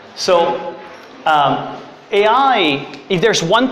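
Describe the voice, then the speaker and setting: A man speaks with lively intonation over noticeable background noise and audible room echo. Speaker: startup CEO giving a tech workshop. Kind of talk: workshop presentation. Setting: room with live audience. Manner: fast; loud.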